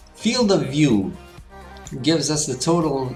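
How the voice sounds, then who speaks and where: Music in the background behind a man speaking at a fairly slow pace with ordinary pitch variation. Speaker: architecture software tutor. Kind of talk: tutorial voiceover.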